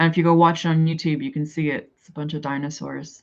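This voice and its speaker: Monotone, flat intonation with a strong Canadian accent. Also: woman. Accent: heavy Canadian. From Canada. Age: 40s. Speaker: livestreamer. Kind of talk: casual chat.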